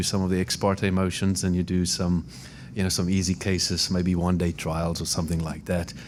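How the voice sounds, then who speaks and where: Speaking at a fairly quick pace, a man with a South African accent has a very deep, low voice. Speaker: immigration lawyer. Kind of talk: podcast interview. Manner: hesitant, many fillers.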